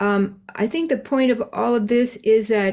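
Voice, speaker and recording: A woman speaking at a fairly slow pace, with ordinary pitch variation. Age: 60s. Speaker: singer sharing at a recovery meeting. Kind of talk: support group sharing. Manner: halting, many fillers.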